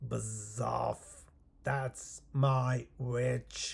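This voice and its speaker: A man growls in a croaky, put-on character voice. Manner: aggressive, dismissive.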